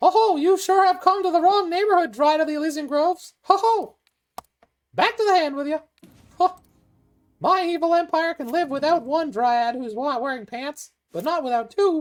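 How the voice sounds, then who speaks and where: A put-on character voice at a high pitch moves at a moderate pace. Long, frequent pauses break up the speech. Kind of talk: theatrical. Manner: gleeful, laughing, comically evil.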